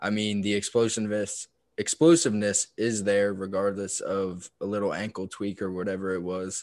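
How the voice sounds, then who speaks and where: On a very clean recording with a silent background, a man with a fairly low pitch speaks at a moderate pace in a flat, monotone way. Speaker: fantasy football podcast co-host. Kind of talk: casual chat.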